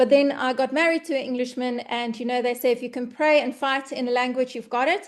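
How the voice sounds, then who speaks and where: A woman with a South African accent, high-pitched and very fast, with fairly even intonation, hardly any pauses and a quiet background. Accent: Afrikaans South African English. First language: Afrikaans. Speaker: online business presenter. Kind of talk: webinar presentation.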